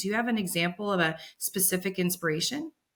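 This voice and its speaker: The speaker has a Californian accent and an animated tone. The pace is fairly quick. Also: woman. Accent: General American (Californian). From US West Coast, San Francisco Bay Area. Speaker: podcast host. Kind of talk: interview. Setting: podcast recording.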